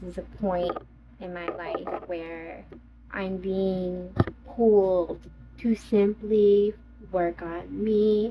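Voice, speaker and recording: Very slow speech from a woman, with noticeable background noise. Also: big swings in loudness. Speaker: podcast host. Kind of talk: casual monologue. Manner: hesitant, many fillers.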